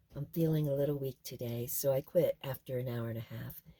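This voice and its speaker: A woman speaks in a very deep, low voice that is somewhat breathy. Her tone is dark and mellow, and her intonation is fairly even. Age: 70s. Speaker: off-grid homesteader vlogger. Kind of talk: casual chat; reading aloud.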